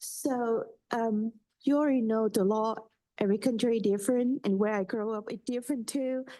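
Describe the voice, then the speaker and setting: A woman's fairly high voice, dark and mellow in tone, at a moderate pace with fairly even intonation over a quiet background. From Switzerland (born in Vietnam). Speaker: pharmacy student. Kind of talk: board hearing. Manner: halting.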